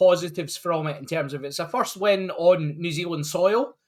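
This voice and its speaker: A man speaks at a moderate pace. His pitch sits high. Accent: Scottish. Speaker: rugby fan. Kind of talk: casual chat.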